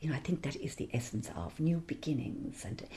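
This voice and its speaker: A woman speaks fairly quickly in an Irish accent. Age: 60s. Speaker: singer and theology scholar. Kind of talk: interview.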